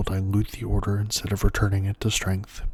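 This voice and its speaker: A man's somewhat breathy, fairly low voice at a moderate pace. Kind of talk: ASMR lore reading. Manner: soft-spoken.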